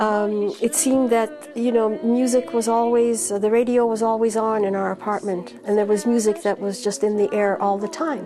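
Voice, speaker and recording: A woman's fairly high voice comes through over noticeable noise in the background. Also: ordinary pitch variation, moderate pace, hardly any pauses. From Hungary, Budapest. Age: 60s. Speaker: jazz singer. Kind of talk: personal interview testimony.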